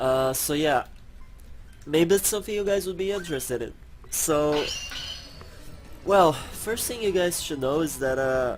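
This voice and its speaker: Over music in the background, a man with a fairly high pitch talks at a fairly slow pace, with lively intonation and long, frequent pauses. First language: not English. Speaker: gaming youtuber. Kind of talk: let's play commentary. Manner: halting.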